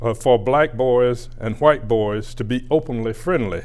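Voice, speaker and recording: At a fairly slow pace, a man with a Southern US accent speaks at medium pitch with ordinary pitch variation. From US South, rural Georgia. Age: 80s+. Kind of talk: prepared acceptance speech. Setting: recorded address for award. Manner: measured, formal delivery.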